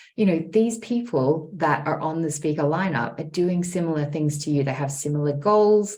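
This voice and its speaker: In an Australian accent, the somewhat breathy voice moves with lively intonation. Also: woman. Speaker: speaking strategist. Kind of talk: podcast interview answer.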